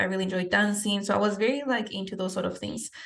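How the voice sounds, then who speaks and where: Speaking very fast in a Spanish accent, a woman keeps her intonation fairly even. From Peru. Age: 20s. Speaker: fitness coach and podcast host. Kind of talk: podcast interview, answering questions about her life.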